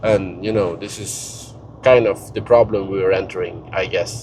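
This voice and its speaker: Noticeable background noise sits behind a man speaking with a Scandinavian accent. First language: Scandinavian language. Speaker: travel and finance vlogger. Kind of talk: casual vlog monologue. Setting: in a car. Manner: halting, many fillers and repetitions.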